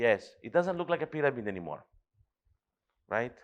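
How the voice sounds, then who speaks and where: Lively intonation at a moderate pace. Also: man. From Greece (Thessaloniki). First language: Greek. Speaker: professor. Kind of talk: lecture.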